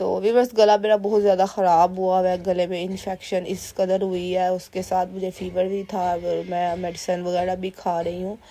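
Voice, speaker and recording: Speaking at a fairly slow pace and medium pitch, a woman keeps a monotone, flat intonation. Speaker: cooking vlogger, mother. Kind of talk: voice-over cooking vlog. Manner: casual conversational, with fillers.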